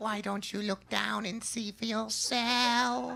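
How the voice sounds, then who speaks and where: A put-on character voice, fairly high in pitch, moves at a fairly slow pace. Background noise is clearly audible. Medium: solo performance.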